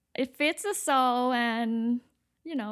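In a very clean recording with a silent background, a woman with a Thai accent speaks at a high pitch and a fairly slow pace. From Thailand, Bangkok. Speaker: interior design architect. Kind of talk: interview. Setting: studio.

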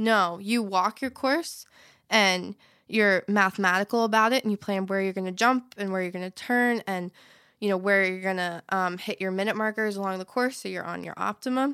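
At a moderate pace, a woman talks in a normal speaking voice of medium pitch with ordinary pitch variation, the sound dry and close with no echo. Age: young (18). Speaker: event rider. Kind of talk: casual interview chat.

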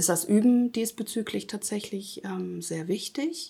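A woman with an ordinary speaking voice, medium pitch and fairly slow pace, in a very clean recording with a silent background. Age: 50s. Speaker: self-help group founder. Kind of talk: interview.

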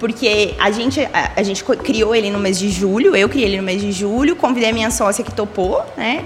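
Over noticeable background noise, a woman speaks at a moderate pace in a fairly high voice. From Paraná interior, Brazil. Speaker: storyteller and writer. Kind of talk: radio interview. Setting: radio studio.

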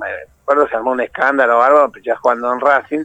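A man with an Argentine accent, in a dry, close sound with no echo. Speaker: retired footballer. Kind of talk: interview.

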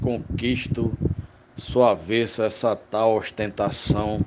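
A man talks at a very slow pace. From Marizal, Rio Grande do Norte. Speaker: poet. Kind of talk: declamation of a glosa.

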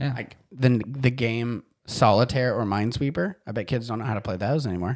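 A man's unremarkable speaking voice, medium in pitch, with ordinary pitch variation and a fairly quick pace. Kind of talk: casual chat.

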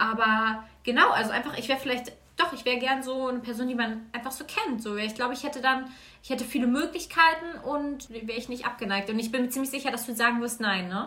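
A woman with a high pitch talks at a very fast pace with ordinary pitch variation. Noticeable background noise and audible room echo accompany her. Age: 20s. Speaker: guest. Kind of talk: casual chat. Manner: halting.

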